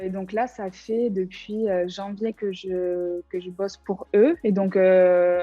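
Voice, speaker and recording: The pitch is medium. The speaker is a woman. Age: 20s. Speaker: former student, graphic designer. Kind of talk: interview testimony. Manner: casual, hesitant with many fillers.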